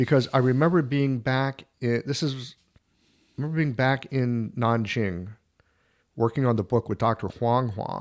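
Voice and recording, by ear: A man at a medium pitch, fairly slow pace and ordinary pitch variation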